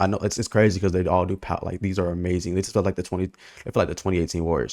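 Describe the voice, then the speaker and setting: The recording is very clean with a silent background, carrying a man's very deep, low voice. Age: young. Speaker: movie reviewer youtuber. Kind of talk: casual film review monologue. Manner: animated, excitable.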